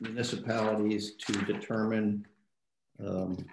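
Audible room echo surrounds a man speaking fairly slowly at a fairly low pitch. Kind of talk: meeting opening remarks. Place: home room. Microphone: video call.

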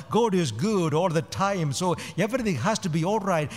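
With music in the background, a man speaks in a high pitch with lively intonation. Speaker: priest. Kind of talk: homily. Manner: rhetorical, emphatic, repeating words for effect. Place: church. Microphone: podium.

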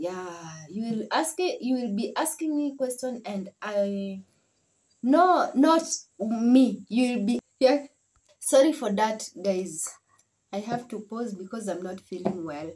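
A woman speaks at a very slow pace with long, frequent pauses, somewhat breathy, in a dark, mellow tone. Her fairly high pitch rises and falls in very wide swings. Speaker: vlogger; family vlogger. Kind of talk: casual vlog talk. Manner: halting. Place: home room. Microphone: phone near.

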